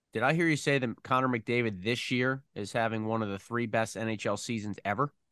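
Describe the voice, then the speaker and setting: A man with an American accent has an ordinary speaking voice, a medium pitch and a fairly quick pace. The sound is dry and close with no echo, over a quiet background. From Philadelphia area, US. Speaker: radio play-by-play hockey broadcaster, podcast host. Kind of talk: podcast interview; solo podcast monologue.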